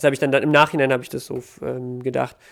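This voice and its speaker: Over a silent background in a very clean recording, a man of medium pitch talks at a very fast pace with monotone, flat intonation. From Ukraine. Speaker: battle rapper. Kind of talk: casual interview.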